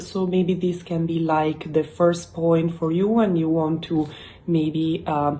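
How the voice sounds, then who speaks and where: A woman's fairly low voice in an Italian accent, dark and mellow in tone, with monotone, flat intonation at a fairly slow pace. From Italy. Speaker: YouTuber. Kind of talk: casual explainer vlog. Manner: halting, many fillers.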